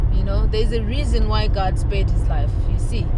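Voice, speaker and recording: A woman talks fairly quickly, with noticeable background noise and audible echo from the room. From Zimbabwe. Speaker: vlogger. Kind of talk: casual vlog talk to camera. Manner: animated.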